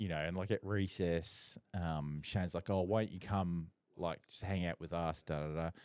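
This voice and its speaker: A man with a very deep, low pitch and an Australian accent talks at a fairly slow pace, the sound dry and close with no echo and the recording very clean over a silent background. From Singapore and Perth, Australia. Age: 60s. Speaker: photographer and podcast host. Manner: animated.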